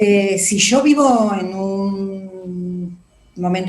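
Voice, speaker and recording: A woman's somewhat breathy voice is heard with audible room echo. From Argentina. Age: 60s. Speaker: psychologist. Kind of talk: interview.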